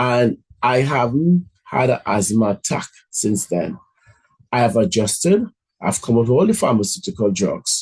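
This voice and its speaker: Speaking fairly slowly with long, frequent pauses, a man with a medium, somewhat breathy voice swings his pitch very widely while keeping his loudness very even. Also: dry, close sound with no echo. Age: 50s. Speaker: motivational speaker. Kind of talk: motivational talk.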